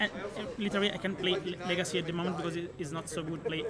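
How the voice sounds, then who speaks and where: Over noticeable background noise and audible room echo, a man with an Italian accent talks very fast in a high, monotone, flat voice. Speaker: card game tournament finalist. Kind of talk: casual interview. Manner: halting.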